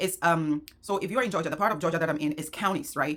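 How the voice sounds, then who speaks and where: The woman's voice sits fairly low in pitch and shows ordinary pitch variation. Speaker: small business owner and vlogger. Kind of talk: casual vlog talk. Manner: fast.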